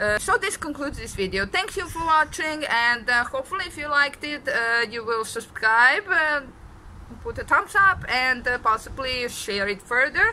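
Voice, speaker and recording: Speaking at a moderate pace with a Serbian accent, a woman uses a raised, projected voice at a high pitch, with very wide pitch swings and big swings in loudness over noticeable background noise. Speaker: deaf vlogger. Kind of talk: vlog monologue. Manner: halting, many fillers.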